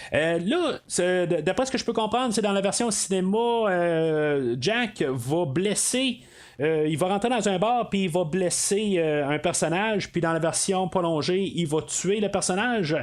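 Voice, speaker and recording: A man with a high pitch talks at a fairly slow pace, his loudness very even and his pitch varying in an ordinary way. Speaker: podcast host. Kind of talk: solo film review podcast. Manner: halting, many fillers.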